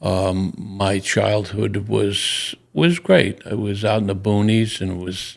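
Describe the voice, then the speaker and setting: A man with a Long Island accent speaks very slowly at a fairly low pitch, with ordinary pitch variation and hardly any pauses. Noticeable background noise runs under his voice. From Long Island, New York. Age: 80s+. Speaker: Vietnam War veteran. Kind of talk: interview. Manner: halting.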